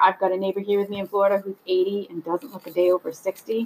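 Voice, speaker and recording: At a moderate pace, a woman with an American accent uses an ordinary speaking voice with fairly even intonation. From US Northeast. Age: 40s. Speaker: podcast host. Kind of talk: solo podcast monologue.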